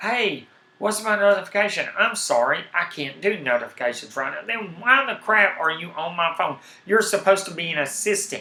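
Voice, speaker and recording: A man's high-pitched, raised and projected voice with a strong Southern US accent, lively intonation and a moderate pace, over noticeable background noise. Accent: heavy Southern US. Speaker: tech and gaming streamer. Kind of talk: casual live stream talk. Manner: animated.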